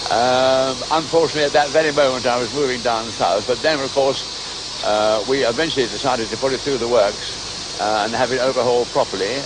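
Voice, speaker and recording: The speech moves at a fairly quick pace with hardly any pauses. Intonation is fairly even, and there is noticeable background noise. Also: man, medium pitch for a man. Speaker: locomotive society chairman. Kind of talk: interview answer.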